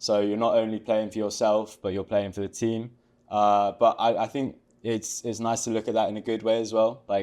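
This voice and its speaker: Here a man with an English accent talks at medium pitch and a moderate pace. His intonation is monotone and flat, over a quiet background. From England. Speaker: college tennis player. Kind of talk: interview. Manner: hesitant, many fillers.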